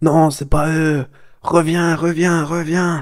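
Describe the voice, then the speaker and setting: Using a put-on character voice, a man speaks at a very slow pace in a fairly high pitch with monotone, flat intonation. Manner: urgent, calling someone back.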